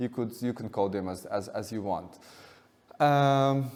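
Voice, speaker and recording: With a Russian accent, this man speaks using ordinary pitch variation. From Russia, Moscow. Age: 30s. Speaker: artist. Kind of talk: lecture. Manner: halting, many repetitions and fillers.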